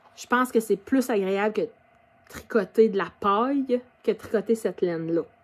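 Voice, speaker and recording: A woman with a Quebec accent speaks at a moderate pace. Her pitch is fairly high, with ordinary pitch variation. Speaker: knitting podcaster. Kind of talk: casual video podcast. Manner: hesitant, many fillers.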